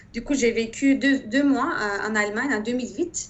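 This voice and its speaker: A woman with a slight Turkish accent talks at a fairly slow pace, with a fairly high pitch and ordinary pitch variation. Noticeable background noise runs underneath. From Turkey. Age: 30s. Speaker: engineer. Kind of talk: interview. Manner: hesitant, many fillers.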